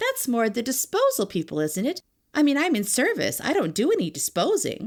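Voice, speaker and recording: In a put-on character voice, a female-sounding speaker talks high and fairly quickly. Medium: read story. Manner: plain-spoken, naive.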